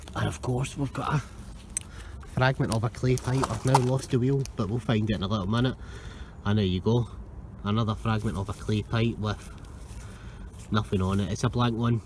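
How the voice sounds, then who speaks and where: A man talks at a fairly quick pace with ordinary pitch variation. The sound is dry with no echo, over light background noise. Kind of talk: casual vlog commentary. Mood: pleased, curious. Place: beach. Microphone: phone near.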